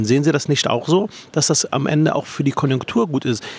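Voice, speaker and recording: Over noticeable background noise, a man talks at a fairly quick pace with a fairly high pitch, the sound dry and close with no echo. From Berlin. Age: 40s. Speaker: politician and podcast host. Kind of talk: interview. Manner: halting.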